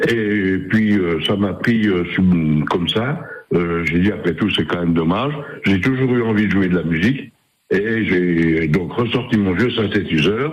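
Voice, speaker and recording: There is audible room echo as a man speaks at a fairly slow pace. His pitch is fairly low with ordinary variation, and his loudness stays very even. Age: 70s. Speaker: caller, amateur musician. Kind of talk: radio call-in. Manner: halting.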